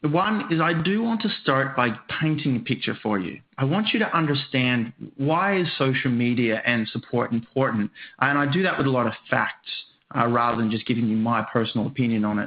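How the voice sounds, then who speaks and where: Talking fairly quickly with an Australian accent, a man keeps a medium pitch and lively intonation. His loudness stays very even. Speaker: software trainer and author. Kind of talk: webinar presentation. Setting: online webcast with screen sharing.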